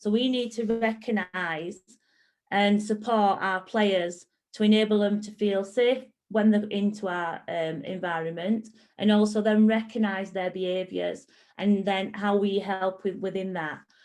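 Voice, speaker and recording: An ordinary speaking voice moves along at a fairly slow pace. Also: woman, medium pitch for a woman, fairly even intonation. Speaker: football coach educator. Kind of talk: online presentation.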